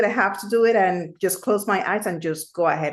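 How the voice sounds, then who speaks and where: Keeping a moderate pace, a woman talks in a Spanish accent. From Puerto Rico. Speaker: amateur radio operator. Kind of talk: casual chat.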